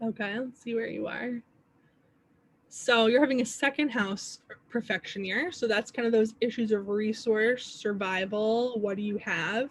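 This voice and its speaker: A woman speaks in an ordinary speaking voice at a moderate pace. Her pitch sits fairly high, with ordinary variation. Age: 30s. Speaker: astrology teacher. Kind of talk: workshop. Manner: casual.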